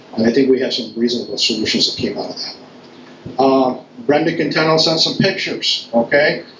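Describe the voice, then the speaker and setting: At a fairly quick pace, a man talks with ordinary pitch variation. Noticeable background noise and audible room echo fill the recording. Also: medium pitch for a man. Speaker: town board official. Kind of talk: public meeting remarks. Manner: fast; halting, many fillers.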